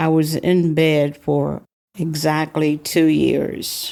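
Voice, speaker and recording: In an American accent, a woman speaks with a very deep, low pitch and a dark, mellow tone, her intonation monotone and flat. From US South, Charleston, South Carolina. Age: 60s. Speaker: program participant. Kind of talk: personal testimony.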